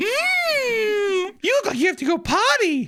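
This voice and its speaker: A put-on character voice, extremely high in pitch, at a fairly slow pace. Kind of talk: saccharine, unsettling. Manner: creepy.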